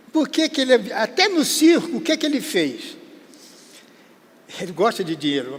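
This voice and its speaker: Over noticeable background noise, a man with an extremely high pitch speaks at a moderate pace, his pitch swinging very widely. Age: 80s+. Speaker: veteran entertainer. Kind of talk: interview storytelling. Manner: casual, halting.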